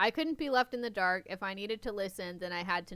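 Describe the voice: Simply plain reading aloud.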